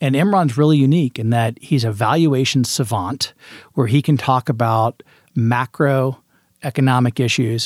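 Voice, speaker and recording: A man's unremarkable speaking voice with an American accent, medium pitch, ordinary pitch variation, and a moderate pace, on a very clean recording with a silent background. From US Midwest, Indianapolis, Indiana. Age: 40s. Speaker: venture capitalist. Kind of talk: interview.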